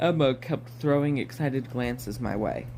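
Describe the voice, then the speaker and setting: A man's somewhat breathy voice comes through at a fairly quick pace. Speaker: audiobook reader. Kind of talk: reading aloud. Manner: fast; halting.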